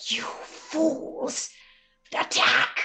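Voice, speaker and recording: Put on as a character, this husky, hissing voice is pitched high. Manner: commanding, snarling.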